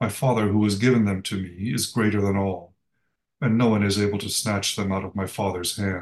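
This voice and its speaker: At a moderate pace, a man speaks in a plain, everyday voice, fairly low in pitch, with fairly even intonation. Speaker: lay reader, co-leader of the service. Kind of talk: reading scripture aloud.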